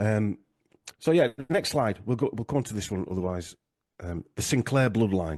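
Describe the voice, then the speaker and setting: A man with a Yorkshire accent speaks at a fairly low pitch in a dark, mellow tone. His pace is fairly quick and his intonation lively, with a dry, close sound, no echo and a quiet background. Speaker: genealogy researcher, podcaster. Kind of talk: interview discussion. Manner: halting, many fillers.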